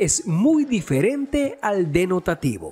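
A man's high-pitched voice with very wide pitch swings, music in the background. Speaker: voice-over narrator. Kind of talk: educational explainer narration.

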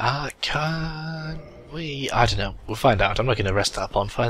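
A man speaks with a British accent at a medium pitch. His pace is moderate and his intonation lively. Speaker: gaming video commentator. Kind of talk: let's play commentary. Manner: animated.

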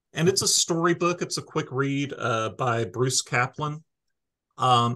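Against a quiet background, a man with a bright, sharp tone speaks at a moderate pace with lively intonation. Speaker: library staff podcast host. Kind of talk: casual podcast chat. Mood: friendly, amused. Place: office. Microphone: video call.

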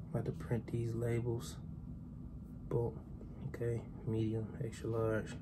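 Loud background noise behind a man's very slow speech. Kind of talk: casual vlog chat. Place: kitchen. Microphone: phone near.

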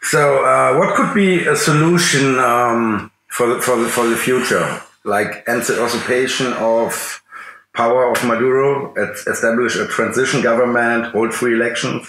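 This man has an ordinary speaking voice at medium pitch, talking at a fairly slow pace with ordinary pitch variation and very even loudness. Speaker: interviewer. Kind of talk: interview.

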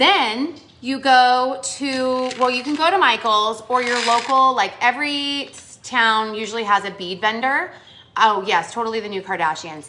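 A woman speaks in a high voice with lively intonation and big swings in loudness. Light background noise sits behind her. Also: moderate pace. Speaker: cheer coach teaching crafts. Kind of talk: craft tutorial on a live video. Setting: live stream. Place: home room. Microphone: phone near.

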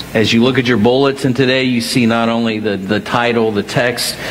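A man talks at a moderate pace in a monotone, flat delivery. Light background noise sits behind him. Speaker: senior minister. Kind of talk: sermon. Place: church. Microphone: headset.

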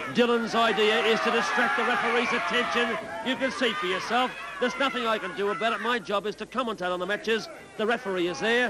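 Over loud background noise, a man in an animated tone uses a raised, projected voice at an extremely high pitch, speaking very fast with ordinary pitch variation. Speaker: wrestling commentator. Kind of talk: live wrestling commentary. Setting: television studio broadcast of a match with crowd. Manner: animated, partisan, gasping reactions to the brawl.

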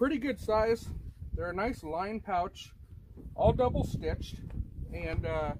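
Noticeable background noise accompanies a man who talks fairly slowly. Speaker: product reviewer. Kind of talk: casual product review. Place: open country. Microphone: camera far.

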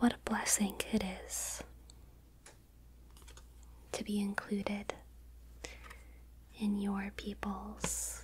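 A soft-spoken woman is whispering. Noticeable background noise can be heard. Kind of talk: ASMR roleplay, soft-spoken. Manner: slow soft ASMR whisper. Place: home room.

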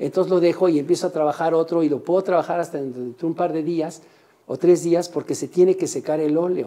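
A man speaks in a high pitch with a dark, mellow tone. His pace is fairly quick and his intonation fairly even. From Mexico City. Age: 70s. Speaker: painter and printmaker. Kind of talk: interview in artist's studio. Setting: artist's workshop. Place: workshop.

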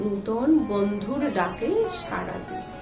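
A woman's pitch swings very widely as she talks while music plays behind her. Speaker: writer. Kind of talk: poetry reading.

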